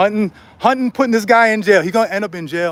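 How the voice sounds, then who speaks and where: Talking at a moderate pace in a high pitch, a man sounds animated over noticeable background noise. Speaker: street vlogger. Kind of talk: vlog rant. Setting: outdoors. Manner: loud.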